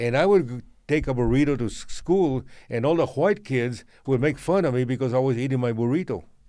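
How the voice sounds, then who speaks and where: In a very clean recording with a silent background, a man with a Spanish accent talks at a fairly quick pace in a dark, mellow tone. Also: medium pitch for a man, ordinary pitch variation. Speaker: podcast co-host. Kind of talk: casual chat.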